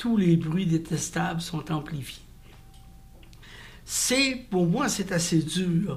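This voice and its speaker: With audible room echo behind him, a man speaks at a very slow pace in a high pitch, leaving long, frequent pauses. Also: ordinary pitch variation. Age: 70s. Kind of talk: interview testimony. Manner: halting.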